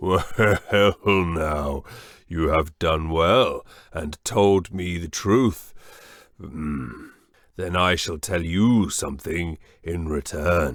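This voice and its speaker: A man uses a raspy, put-on character voice with a very deep, low pitch. He speaks very slowly with long, frequent pauses in a very clean recording with a silent background. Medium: read story. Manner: commanding, grand.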